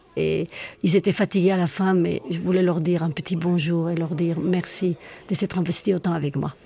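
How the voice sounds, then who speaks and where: A woman speaks fairly quickly at a fairly low pitch, with a dark, mellow tone. Her intonation is monotone and flat, and her voice is somewhat breathy. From Spain, Madrid. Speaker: singer, actress and theatre school director. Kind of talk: interview.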